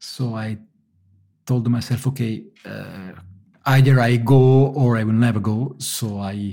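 With an Italian accent, a man speaks in a somewhat breathy voice with a dark, mellow tone and ordinary pitch variation. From Italy (Naples). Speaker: engineer turned pizza maker. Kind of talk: interview. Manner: halting.

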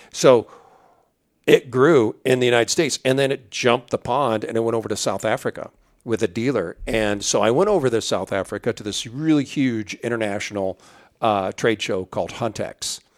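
A man with an American accent has an unremarkable speaking voice, medium in pitch with ordinary pitch variation, at a moderate pace. The recording is very clean, with a silent background and a dry, close sound with no echo. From central Illinois. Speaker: camo company president. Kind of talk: casual interview. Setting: company headquarters.

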